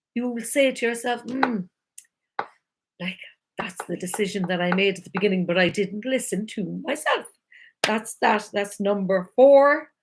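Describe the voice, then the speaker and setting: Her voice animated, a woman talks at a moderate pace with a fairly high pitch and ordinary pitch variation. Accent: Irish. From Ireland. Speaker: life coach. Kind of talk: live-stream talk. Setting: live video stream.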